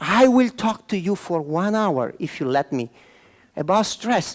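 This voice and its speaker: A man in an Italian accent, animated in tone, with very wide pitch swings at a fairly slow pace. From Milan, Italy; moved to Venezuela at fifteen. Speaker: motivational speaker and trainer. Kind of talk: conference talk. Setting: conference room with live audience.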